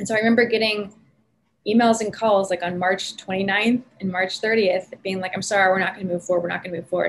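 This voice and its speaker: A somewhat breathy voice with an American accent and fairly even intonation. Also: woman. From Northern California, San Francisco Bay Area. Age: 30s. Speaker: PR consultant and entrepreneur. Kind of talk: interview.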